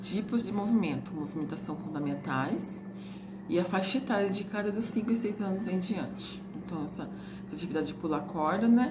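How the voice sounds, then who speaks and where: Amid audible room echo and noticeable background noise, a woman keeps up a fairly quick pace. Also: medium pitch for a woman, ordinary pitch variation. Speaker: teacher running an extension course. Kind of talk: recorded lecture, partly reading from a book. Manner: fast, words run together; reading aloud lists from a book.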